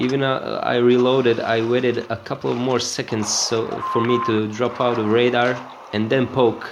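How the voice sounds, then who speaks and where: A man with a non-native accent speaks at a moderate pace and a medium pitch. His intonation is monotone and flat, with noticeable background noise behind him. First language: not English. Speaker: gaming video creator. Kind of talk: gameplay commentary tutorial. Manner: hesitant, many filler sounds.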